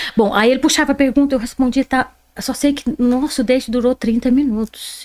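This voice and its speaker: This woman has a strong Brazilian accent and a high pitch. She talks at a fairly quick pace in an animated tone. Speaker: interview guest. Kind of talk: podcast interview.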